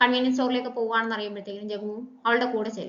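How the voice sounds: A woman talks very fast in a fairly high voice. Her tone is fairly bright and her intonation fairly even.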